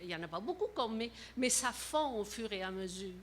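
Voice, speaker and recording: Speaking at a moderate pace, a woman with a fairly high pitch swings very widely up and down. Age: 70s. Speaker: resident asking a question. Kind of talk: public question at council meeting.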